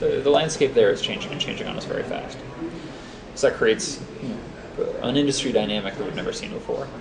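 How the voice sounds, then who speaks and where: This man rattles off his words very fast while noticeable background noise carries on behind him. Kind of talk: interview answer. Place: booth.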